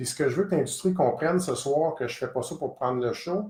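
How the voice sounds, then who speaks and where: A man's somewhat breathy voice with a Quebec accent and lively intonation. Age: 50s. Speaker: gun shop owner. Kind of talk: live stream address.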